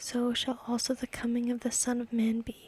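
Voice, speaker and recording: A soft-spoken woman speaks at a high pitch in a calm, soothing tone with monotone, flat intonation. Her pace is fairly slow, and the sound is dry and close with no echo. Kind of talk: ASMR Bible reading.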